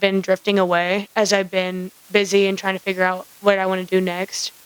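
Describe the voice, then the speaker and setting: A woman's voice comes across dry and close, with no echo. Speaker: podcast co-host. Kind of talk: casual chat. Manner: halting; slow. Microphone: microphone keeps drifting away, sits close.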